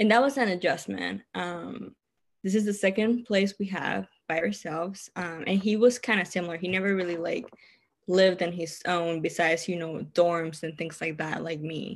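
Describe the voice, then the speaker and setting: A woman's fairly low-pitched voice in a Cuban accent, with ordinary pitch variation and a moderate pace. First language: Spanish. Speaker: therapist. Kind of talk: casual interview chat. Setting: remote call.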